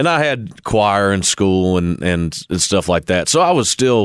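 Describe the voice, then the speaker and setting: On a very clean recording with a silent background, a man with a Kentucky accent talks at a moderate pace. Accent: Kentucky Southern US. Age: 20s. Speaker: country singer. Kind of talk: interview. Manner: halting, many fillers and repeats.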